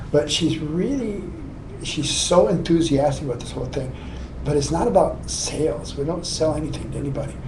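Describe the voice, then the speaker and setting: A man keeps a moderate pace while audible room echo and noticeable background noise surround his words. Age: 60s. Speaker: spiritual healer and author.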